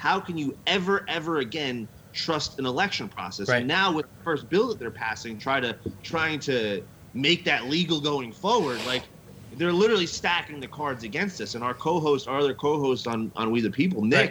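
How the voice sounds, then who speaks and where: Lively intonation and a moderate pace in an American accent, with noticeable background noise. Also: man, fairly high pitch for a man. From Las Vegas, US. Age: 30s. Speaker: podcast co-host, guest. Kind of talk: casual chat.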